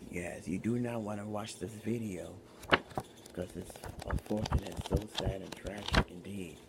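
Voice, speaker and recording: With noticeable background noise, the speaker uses fairly even intonation and takes long, frequent pauses. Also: man. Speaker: ASMR storyteller. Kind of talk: ASMR casual talk to camera. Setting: home recording with fan noise.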